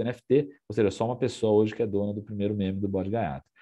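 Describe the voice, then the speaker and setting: A man with a fairly low pitch, a rural São Paulo accent and a very fast pace. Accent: São Paulo countryside (caipira). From interior of São Paulo state, Brazil. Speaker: NFT company CEO, workshop speaker. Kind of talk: presentation. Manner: casual, many fillers.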